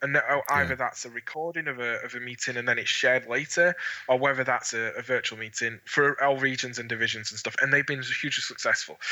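Someone with a Scottish accent speaks very fast with hardly any pauses, over noticeable background noise. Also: man, medium pitch for a man. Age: 30s. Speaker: model railroad association manager. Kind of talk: interview. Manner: enthusiastic.

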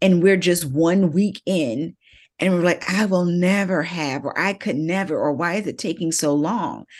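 In a plain, everyday voice, a woman with fairly low pitch and ordinary pitch variation speaks at a moderate pace against a quiet background. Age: 50s. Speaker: marketing business owner and author. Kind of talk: interview conversation.

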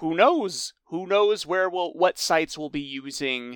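Heard in a very clean recording with a silent background and a dry, close sound with no echo, a man in an unremarkable speaking voice talks at a fairly slow pace with lively intonation. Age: 20s. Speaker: podcast co-host. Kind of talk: casual chat.

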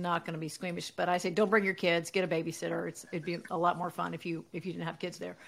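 Speaking very fast in an American accent, the woman has a fairly low pitch, vocal fry and a monotone, flat intonation. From US South. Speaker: comedian. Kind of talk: casual chat.

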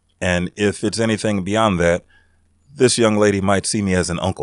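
Against a quiet background, a man with a fairly low pitch talks at a fairly quick pace and with fairly even intonation. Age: 40s. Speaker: podcast co-host. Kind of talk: casual chat. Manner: halting, many fillers.

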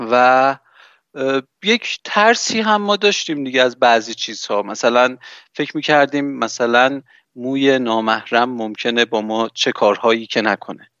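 Using an unremarkable speaking voice, a man talks at a fairly slow pace with ordinary pitch variation. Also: medium pitch for a man. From Iran. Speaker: podcaster. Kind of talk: casual chat.

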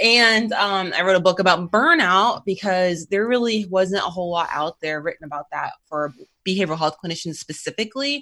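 With an American accent, a woman talks in a normal speaking voice at medium pitch, with ordinary pitch variation and hardly any pauses. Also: fairly quick pace. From North Carolina. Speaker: behavioral health clinician. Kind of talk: interview. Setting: remote call.

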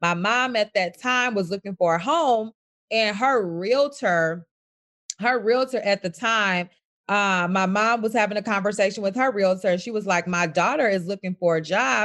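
This plain, everyday voice has an American accent, ordinary pitch variation and a moderate pace. The background is quiet. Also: woman, medium pitch for a woman. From US Midwest, south side of Chicago. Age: 20s. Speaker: real estate broker. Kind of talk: interview.

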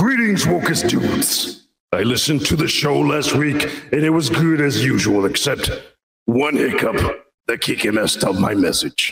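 Using a put-on character voice, a man speaks at a moderate pace in a fairly high pitch with a clear echo. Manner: playful, humorous.

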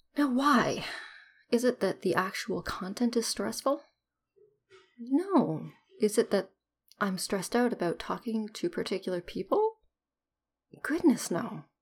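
Somewhat breathy, a woman with a fairly high pitch speaks at a fairly slow pace. Her intonation is lively, broken by long, frequent pauses. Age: 30s. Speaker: podcaster sharing personal ADHD journey. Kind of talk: personal solo monologue. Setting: at home.

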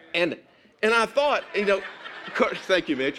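The speaker sounds animated and moves along at a fairly quick pace. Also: man. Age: 60s. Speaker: pastor. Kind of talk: sermon.

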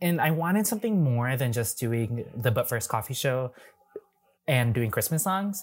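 A man with an American accent speaks at a moderate pace in a fairly high, somewhat breathy voice. His pitch swings very widely while his loudness stays very even. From Wisconsin, US Midwest. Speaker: drag performer and YouTuber. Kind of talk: casual interview.

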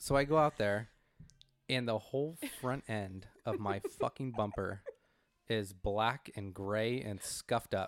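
A man with an American accent uses a normal speaking voice at medium pitch with ordinary pitch variation, and the sound is dry and close with no echo. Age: 30s. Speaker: podcast co-host. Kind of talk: casual chat.

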